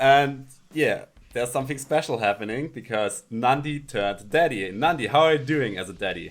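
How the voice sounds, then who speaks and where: A man with a German accent talks at a moderate pace and a medium pitch, his pitch varying in an ordinary way. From Alpine region. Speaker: podcast host, interviewer. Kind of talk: online interview. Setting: video call.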